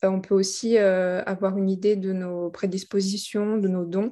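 A woman's voice with a dark, mellow tone. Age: 30s. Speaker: life coach. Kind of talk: interview. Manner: halting.

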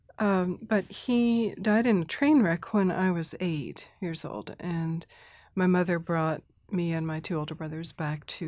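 In a plain, everyday voice, a woman with an American accent speaks at a fairly slow pace and a fairly low pitch on a very clean recording with a silent background. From Thailand (mission community), then US. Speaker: Presbyterian minister and spiritual director. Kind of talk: casual chat.

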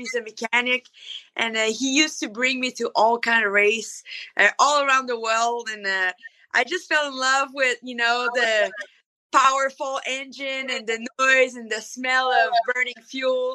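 Her pitch high and her intonation fairly even, a woman speaks with big swings in loudness. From Canada. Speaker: monster truck driver. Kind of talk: casual interview.

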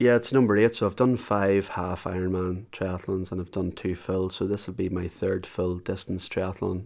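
Over a very clean recording with a silent background, a man with a Northern Irish accent speaks in a very deep, low pitch at a moderate pace with fairly even intonation. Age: 40s. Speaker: business owner and endurance athlete with MS. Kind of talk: interview. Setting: at home.

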